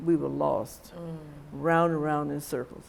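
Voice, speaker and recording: With a Mississippi accent, a woman speaks at a moderate pace. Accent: Southern US (Mississippi). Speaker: civil rights activist. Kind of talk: oral history interview answer.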